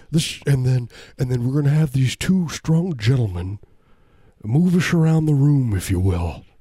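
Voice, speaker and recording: Over a very clean recording with a silent background, a man speaks at a moderate pace in a dark, mellow, somewhat breathy tone with lively intonation. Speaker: comedy podcast host. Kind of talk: casual chat. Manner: joking, rambling.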